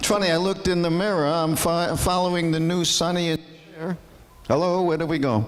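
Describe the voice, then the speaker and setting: A man talks at a moderate pace in a high pitch. There is noticeable background noise and audible room echo. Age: 70s. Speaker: stand-up comedian. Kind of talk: stand-up. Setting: stage with audience.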